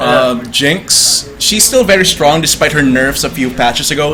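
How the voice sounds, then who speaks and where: Over music in the background, a man talks at a moderate pace. His pitch is fairly high, with lively intonation. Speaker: esports shoutcaster in training. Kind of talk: esports game commentary (shoutcasting).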